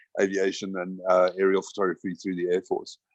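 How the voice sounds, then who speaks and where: In a dry, close recording with no echo, a man talks at a fairly quick pace in a fairly low pitch. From South Africa. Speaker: camera company product manager. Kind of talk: casual interview chat. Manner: hesitant, many fillers.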